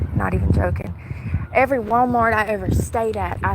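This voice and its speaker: A woman speaks at a fairly quick pace with audible room echo. Noticeable background noise is also present. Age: 30s. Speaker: homeless livestreamer. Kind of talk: casual livestream monologue. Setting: outdoors in the heat. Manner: fast.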